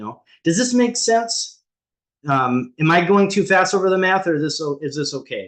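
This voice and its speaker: A man with a high pitch speaks with lively intonation against a quiet background. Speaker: ADHD coach for real estate agents. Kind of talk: live group coaching call. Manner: fast; filler-heavy, many ums and restarts.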